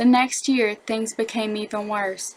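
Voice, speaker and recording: With a strong Southern US accent, a woman speaks at a fairly high pitch and a moderate pace in a monotone, flat intonation. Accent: thick Southern American. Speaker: elementary school teacher. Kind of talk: educational narration.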